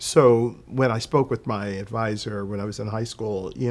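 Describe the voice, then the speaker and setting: This is a man speaking with an American accent. His pitch sits in the medium range. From Philadelphia, US. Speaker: travel consultant. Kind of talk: interview. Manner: hesitant, many fillers.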